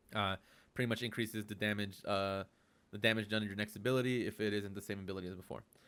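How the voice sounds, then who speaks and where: A man at a very fast pace, bright and sharp in tone, on a very clean recording with a silent background. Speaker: gaming guide creator. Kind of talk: tutorial. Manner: halting, many fillers; casual.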